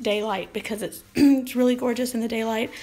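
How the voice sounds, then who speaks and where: Music plays in the background as a woman speaks in a high pitch. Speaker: artist. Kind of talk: casual live stream talk.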